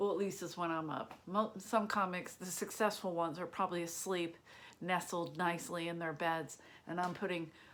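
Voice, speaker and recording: With a Philadelphia accent, a woman speaks at a fairly low pitch and a moderate pace. Her tone is animated. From Philadelphia, US. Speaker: stand-up comedian. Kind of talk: casual monologue to camera.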